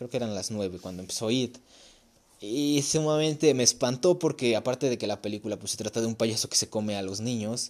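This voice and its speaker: On a very clean recording with a silent background, a man talks at a moderate pace and medium pitch with ordinary pitch variation. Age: young. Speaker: podcast host. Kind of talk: casual chat. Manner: casual, conversational.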